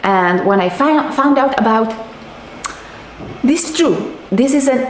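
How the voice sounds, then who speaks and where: A woman speaks with a non-native accent and very wide pitch swings. Audible room echo surrounds her voice. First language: not English. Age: 40s. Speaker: diet and nutrition coach. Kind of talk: vlog monologue. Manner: animated; halting.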